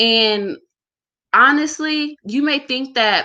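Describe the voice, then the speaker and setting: A loud woman with a bright, sharp tone and ordinary pitch variation. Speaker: alumna, town hall speaker. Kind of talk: town hall discussion. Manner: fast.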